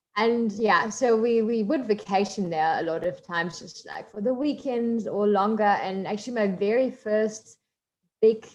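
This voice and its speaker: A woman speaks at a moderate pace with a German accent. Her pitch varies in an ordinary way. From Germany, coal mining town. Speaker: marine biologist. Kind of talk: guest talk in online workshop.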